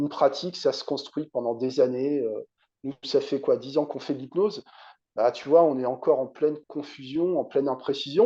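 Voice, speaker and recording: This man's voice has a dark, mellow tone and fairly high pitch, with ordinary pitch variation. He talks at a moderate pace against a quiet background. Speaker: hypnotherapist. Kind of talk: interview conversation.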